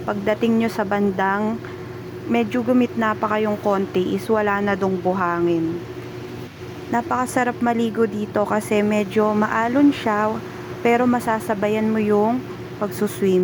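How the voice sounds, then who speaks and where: With noticeable background noise behind her, a woman speaks at a fairly slow pace and medium pitch, her pitch varying in an ordinary way. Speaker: family vlogger. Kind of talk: vlog voiceover narration. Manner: casual, chatty.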